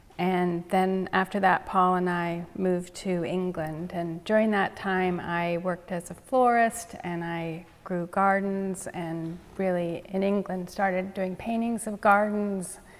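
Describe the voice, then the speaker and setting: With a Canadian accent and an ordinary speaking voice, this speaker talks at a fairly slow pace with hardly any pauses and fairly even intonation. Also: woman, medium pitch for a woman. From Canada, Kingston, Ontario. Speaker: painter. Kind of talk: artist talk interview.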